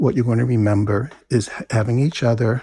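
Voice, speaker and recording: A man with an American accent speaks at a moderate pace in a dark, mellow, somewhat breathy tone with fairly even intonation, recorded dry and close with no echo. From New Jersey. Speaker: essayist and university teacher. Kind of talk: casual interview.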